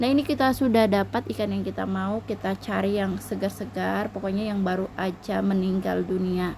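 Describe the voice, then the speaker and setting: A woman at a moderate pace with hardly any pauses. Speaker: housewife vlogger. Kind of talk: casual vlog narration. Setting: traditional market, outdoors.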